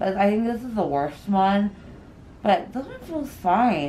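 A woman talks at a fairly slow pace, with light noise in the background. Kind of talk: casual vlog chat. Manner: sore, numb mouth, drowsy speech.

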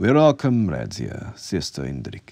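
A man puts on a character voice, extremely low and dark and mellow, with vocal fry, very wide pitch swings and a fairly slow pace.

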